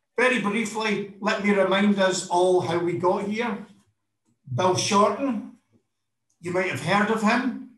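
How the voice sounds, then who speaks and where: A man with a Scottish accent and high pitch speaks at a fairly slow pace with long, frequent pauses and ordinary pitch variation, in a quiet background with audible room echo. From Scotland. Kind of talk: impassioned speech. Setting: video call. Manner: animated. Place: office. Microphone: webcam.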